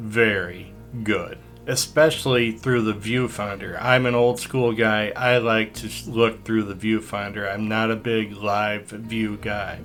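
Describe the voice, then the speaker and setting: Over music in the background, a man speaks in a fairly low, monotone, flat voice at a fairly slow pace. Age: 60s. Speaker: landscape photographer. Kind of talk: casual talk to camera, camera review.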